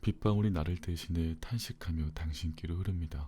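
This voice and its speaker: There is music in the background as a man speaks in a very deep, low pitch at a fairly slow pace. His tone is calm and his intonation fairly even. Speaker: audiobook narrator. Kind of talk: bedtime book reading. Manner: slow, calm.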